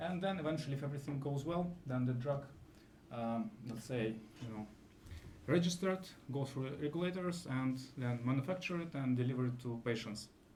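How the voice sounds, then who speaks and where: A man with a non-native accent and a fairly high pitch talks at a fairly quick pace, somewhat breathy and with ordinary pitch variation, with audible room echo. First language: not English. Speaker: AI scientist in drug discovery. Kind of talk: conference talk. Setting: live event with audience. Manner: halting, many fillers.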